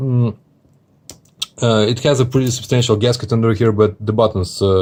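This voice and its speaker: A man with a non-native accent speaks with fairly even intonation on a very clean recording with a silent background. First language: not English. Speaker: watch reviewer. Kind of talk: product review video. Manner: casual, many hesitations.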